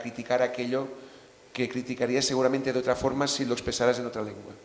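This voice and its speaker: Over noticeable background noise, a man with a Catalan accent talks at a medium pitch in a monotone, flat intonation. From Catalonia. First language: Catalan (speaking Spanish). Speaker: novelist. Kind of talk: panel discussion.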